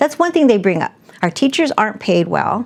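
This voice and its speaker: A woman talks at a fairly quick pace with an American accent. Her pitch swings very widely. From South Phoenix, Arizona. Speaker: educator and political candidate. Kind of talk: interview.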